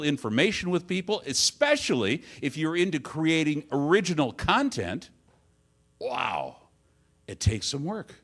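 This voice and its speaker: On a very clean recording with a silent background, a man talks at a fairly slow pace with very wide pitch swings. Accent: Midwestern American. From Detroit, Michigan. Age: 60s. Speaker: advertising agency owner and conference speaker. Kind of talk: conference talk. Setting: stage with audience. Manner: conversational.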